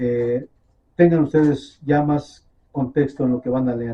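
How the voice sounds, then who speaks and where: Speaking at a very slow pace, a man has a dark, mellow tone that is somewhat breathy. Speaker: messianic bible teacher. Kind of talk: sermon.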